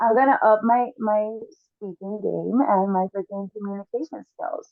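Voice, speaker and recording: Her voice is fairly high, with ordinary pitch variation, as the woman speaks at a moderate pace. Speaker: podcast co-host. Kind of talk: casual chat. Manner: drops the g in -ing words.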